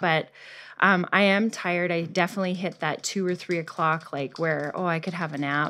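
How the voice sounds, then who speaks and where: A woman's bright, sharp voice sits at a fairly low pitch in a very clean recording with a silent background. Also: moderate pace. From Canada. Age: 40s. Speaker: patient. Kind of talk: patient consultation. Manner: casual, animated storytelling.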